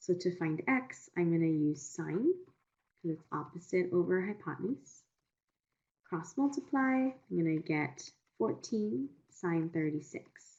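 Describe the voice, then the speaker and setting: A woman with an ordinary speaking voice, fairly low in pitch, uses lively intonation at a fairly slow pace. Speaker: math tutor. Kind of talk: online tutoring session.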